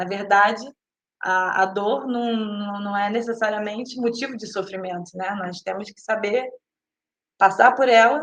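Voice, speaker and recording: This woman talks at a very slow pace, with long, frequent pauses and big swings in loudness. Her pitch sits in the medium range and her intonation stays fairly even. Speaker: spiritist talk speaker. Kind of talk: lecture. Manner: halting, many fillers and repeats.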